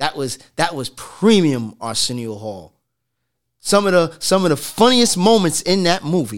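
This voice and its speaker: A man talks at a fairly high pitch, with very wide pitch swings and big swings in loudness. The recording is very clean, with a silent background. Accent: American. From New York City. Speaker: barber. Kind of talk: casual chat.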